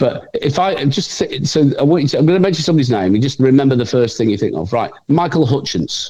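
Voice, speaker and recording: Speaking very fast with hardly any pauses, a man with an English accent uses lively intonation, a fairly high pitch, a dark, mellow tone, and vocal fry. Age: 60s. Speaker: TV writer and performer. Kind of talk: casual interview chat. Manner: halting, repetitive.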